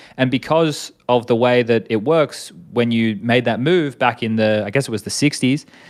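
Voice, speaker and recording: With an Australian accent, a man talks at a moderate pace and medium pitch, with hardly any pauses. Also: ordinary pitch variation. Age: 30s. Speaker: esports commentator and former player. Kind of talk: casual interview.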